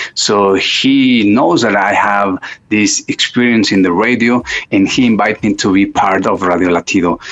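Against noticeable background noise, a man with a Spanish accent speaks at a moderate pace in a fairly low voice, with fairly even intonation and very even loudness. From Mexico City, Mexico. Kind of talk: interview testimony.

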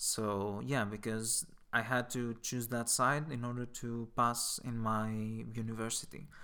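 A man's medium-pitched voice with a Greek accent, bright and sharp in tone, fairly even intonation and a fairly slow pace. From Greece. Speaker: volunteer. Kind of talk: interview. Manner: halting, many fillers.

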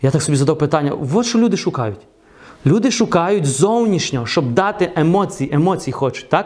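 Animated in tone, a man talks at a high pitch with lively intonation and very even loudness. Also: moderate pace. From western Ukraine, Truskavets. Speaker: preacher. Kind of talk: sermon.

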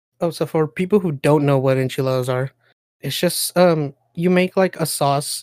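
At a moderate pace, the speaker talks with a non-native accent in a very clean recording with a silent background. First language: not English. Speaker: podcast co-host.

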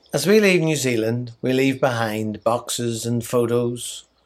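A man speaks with an Irish accent at a medium pitch. His pace is very slow. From Ireland. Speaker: missionary leader. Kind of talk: scripted devotional message.

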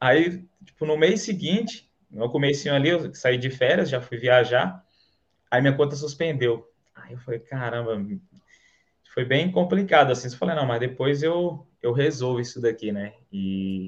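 A man speaks at a medium pitch with lively intonation. His pace is fairly slow and his voice is somewhat breathy. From Bahia, Brazil (interior, Canarana). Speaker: affiliate marketer, electrical engineer. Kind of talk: casual interview, livestream.

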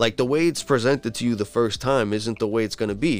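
Energetic in tone, a man talks at a fairly quick pace and medium pitch with ordinary pitch variation. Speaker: podcast host. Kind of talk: casual interview chat. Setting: Twitter Spaces live audio. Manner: fast talker, energetic.

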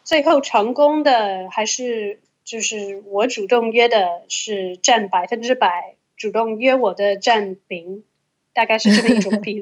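A woman with a fairly high pitch talks at a fairly slow pace, her loudness swinging widely and her pitch varying in an ordinary way. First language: English (speaking Chinese). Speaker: Chinese-English translator. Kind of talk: casual chat.

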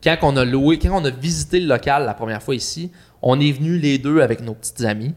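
An unremarkable speaking voice with ordinary pitch variation. The pace is fairly quick. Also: man. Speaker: podcast host. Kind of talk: casual chat.

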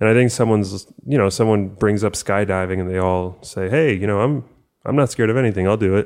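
A man with an American accent talks at a very fast pace and fairly low pitch, with ordinary pitch variation. The recording is very clean, with a silent background. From US, first-generation Cuban American. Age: 20s. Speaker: podcast co-host. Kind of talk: casual chat.

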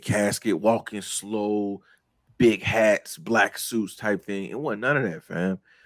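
A man's fairly low-pitched voice at a very slow pace, on a very clean recording with a silent background. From Jacksonville. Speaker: podcast co-host and music artist. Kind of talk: casual chat. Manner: animated.

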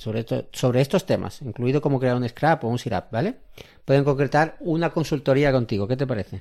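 A man with a dark, mellow tone speaks with ordinary pitch variation in a very clean recording over a silent background. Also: medium pitch for a man, fairly quick pace. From Argentina. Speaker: podcast host. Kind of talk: casual explanatory podcast chat.

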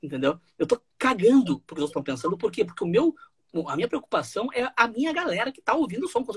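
Very wide pitch swings mark a man's very fast speech, recorded with a dry, close sound and no echo. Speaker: DJ and radio/TV presenter. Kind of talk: casual interview chat. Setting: home studio, video call.

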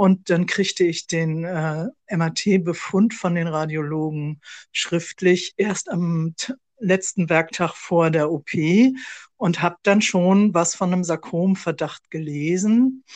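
A woman's fairly low voice at a very slow pace, with fairly even intonation over a quiet background. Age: 60s. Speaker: podcast co-host, sarcoma patient, civil servant. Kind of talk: casual conversation.

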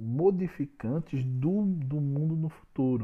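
A man speaks in a fairly high pitch. His voice is somewhat breathy, with ordinary pitch variation. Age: 30s. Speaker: business consultant podcaster. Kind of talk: solo podcast talk. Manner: informal and chatty.

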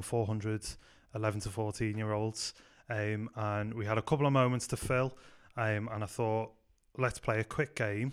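In a Liverpool accent, a man speaks at a medium pitch with fairly even intonation on a very clean recording with a silent background. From Liverpool, England. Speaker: youth pastor. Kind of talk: casual chat.

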